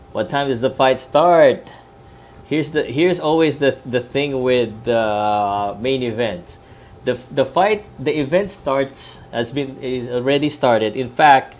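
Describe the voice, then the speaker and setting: Speaking with a Filipino accent, a man at a medium pitch talks at a fairly slow pace with ordinary pitch variation over noticeable background noise. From Philippines. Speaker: sports vlogger. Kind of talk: live boxing talk stream. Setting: laptop live stream at in-laws' house. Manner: hesitant, many fillers. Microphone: laptop and earbuds, not usual mic.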